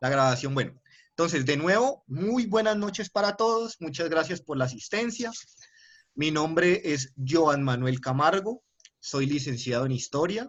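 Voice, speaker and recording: Speaking at a fairly slow pace, a man with a fairly high pitch swings his voice very widely up and down. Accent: Cali. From Colombia, Cali. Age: 20s. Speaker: university lecturer. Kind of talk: lecture. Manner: hesitant, with filler sounds and repetitions.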